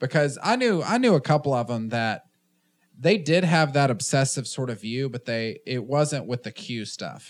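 In a very clean recording with a silent background, a man speaks at a medium pitch and moderate pace with ordinary pitch variation. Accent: Southern US. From US South, Tennessee. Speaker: podcast host. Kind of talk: casual chat.

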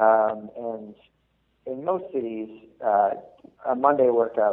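In an American accent, a man with a plain, everyday voice speaks at a medium pitch with ordinary pitch variation. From Massachusetts. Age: 20s. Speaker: medical student, fitness group co-founder. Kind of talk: casual interview.

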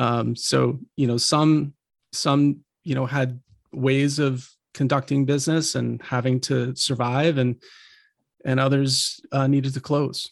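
A man with an American accent speaks at a fairly slow pace in a medium pitch, with monotone, flat intonation and very even loudness against a quiet background. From eastern Pennsylvania. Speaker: photographer. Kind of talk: casual chat.

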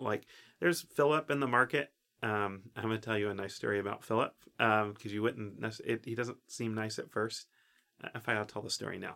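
The speaker has an American accent and a bright, sharp tone. Delivery is fairly quick, with fairly even intonation. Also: man, fairly low pitch for a man. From US South, East Tennessee (Oak Ridge). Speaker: photographer. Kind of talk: casual chat.

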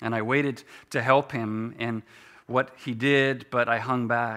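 The intonation remains fairly even. The text is read aloud in a natural voice.

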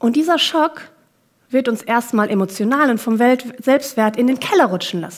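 This woman speaks at a moderate pace in a high pitch with lively intonation. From Kenya and Germany, several countries. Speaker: coach and keynote speaker. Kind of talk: keynote talk.

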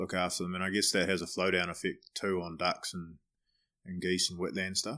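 A man with a New Zealand accent speaks at a very deep, low pitch. His delivery is fairly quick, with monotone, flat intonation. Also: very clean recording, silent background. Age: 30s. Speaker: podcast host. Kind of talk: casual interview; scripted introduction.

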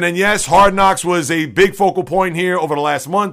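A bright, sharp tone comes through, with ordinary pitch variation. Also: man. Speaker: sports podcast host. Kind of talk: sports talk monologue, solo podcast commentary. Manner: fast-paced, rapid-fire; energetic, opinionated.

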